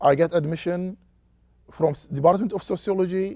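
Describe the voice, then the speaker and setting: In a very clean recording with a silent background, a man with an Arabic accent speaks at a high pitch in a dark, mellow tone with ordinary pitch variation. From Saudi Arabia, Qatif. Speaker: sociology professor. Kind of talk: interview. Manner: halting.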